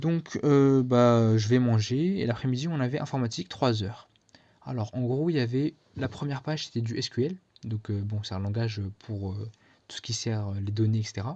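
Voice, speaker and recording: A man speaks at a moderate pace and medium pitch, with ordinary pitch variation and a quiet background. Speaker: student vlogger. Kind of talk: casual vlog. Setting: speaking to camera. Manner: hesitant, many fillers.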